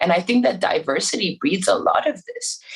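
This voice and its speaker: A woman speaks at a moderate pace with a somewhat breathy voice. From Iran, raised abroad as third culture kid. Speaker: musician. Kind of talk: podcast interview.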